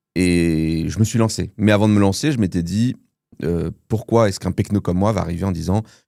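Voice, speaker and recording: Recorded very cleanly against a silent background, a man speaks at a moderate pace in a fairly low, dark, mellow tone, with ordinary pitch variation and big swings in loudness. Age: 30s. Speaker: film content creator. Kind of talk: casual interview chat.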